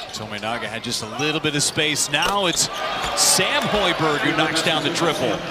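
Heavy noise fills the background. The sound is dry, without any echo. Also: moderate pace. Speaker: play-by-play announcer. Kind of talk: live sports commentary.

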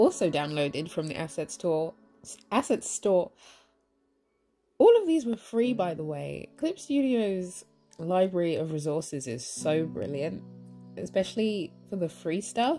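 Over music in the background, a woman with a fairly low pitch and lively intonation speaks at a fairly slow pace with long, frequent pauses. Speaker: digital artist. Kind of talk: speedpaint tutorial voiceover. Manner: casual, chatty.

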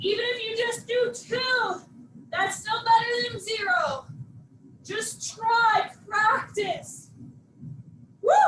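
In a bright, sharp tone, a woman speaks at an extremely high pitch with ordinary pitch variation, very slowly and with long, frequent pauses, amid audible room echo and light background noise. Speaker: fitness instructor. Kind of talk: live workout class instruction. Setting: video workout class. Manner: brisk, upbeat, cueing in short commands; animated, encouraging. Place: home room.

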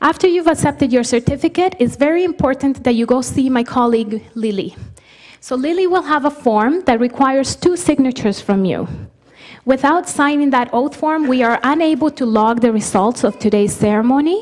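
A woman talks at a fairly quick pace in a high pitch against a quiet background. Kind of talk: formal instructions to an audience. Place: hall. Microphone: podium.

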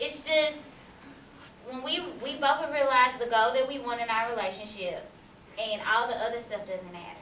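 A woman speaks at a moderate pace with high pitch and ordinary pitch variation, long, frequent pauses and big swings in loudness, with audible room echo and light background noise. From US South. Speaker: college student; panelist. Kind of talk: panel discussion. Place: classroom. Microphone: camera far.

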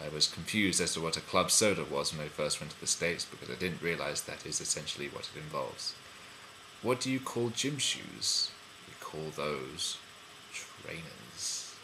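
Over noticeable background noise, a man with a London accent speaks at a moderate pace in a very deep, low pitch with lively intonation. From London, England. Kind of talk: casual talk to camera.

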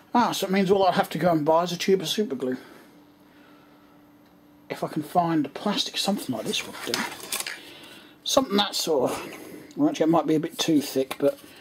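Speech comes at a very fast pace over noticeable background noise. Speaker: hobbyist vlogger. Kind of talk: casual vlog chat. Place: home room. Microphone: phone near.

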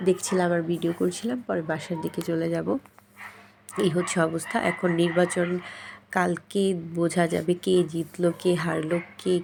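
A woman's fairly low voice in a monotone, flat delivery. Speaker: vlogger, mother. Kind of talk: casual vlog narration. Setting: outdoors.

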